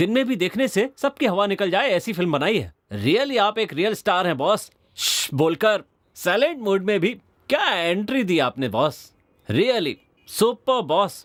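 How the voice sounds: A man's put-on character voice, high-pitched and fairly bright, with big pitch swings, a fairly slow pace and few pauses.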